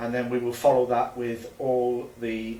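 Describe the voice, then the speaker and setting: Over noticeable background noise and audible room echo, a man at a medium pitch speaks with monotone, flat intonation. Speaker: football association presenter. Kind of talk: live cup draw presenting. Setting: office. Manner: stumbling over words.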